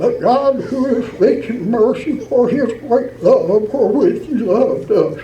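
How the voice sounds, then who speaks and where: With noticeable background noise behind him, a man with an extremely high pitch speaks at a fairly slow pace and ordinary pitch variation. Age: 80s+; old. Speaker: Old Regular Baptist church elder. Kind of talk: church letter reading with scripture.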